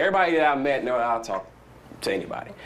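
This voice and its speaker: A man with a Southern US accent at a fairly quick pace, with audible room echo. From US South. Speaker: startup founder. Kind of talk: conference talk. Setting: stage with audience. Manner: animated; fast.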